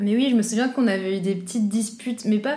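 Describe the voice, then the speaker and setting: A woman speaks at a moderate pace in a dark, mellow tone. Audible room echo surrounds her voice. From Belgium, Brussels. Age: 20s. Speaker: law student. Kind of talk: casual chat.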